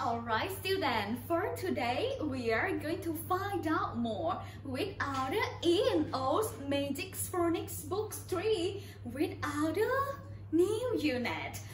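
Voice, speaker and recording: Very slow speech carries audible room echo over light background noise. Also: woman. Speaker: English teacher. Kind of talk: online class for children. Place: classroom.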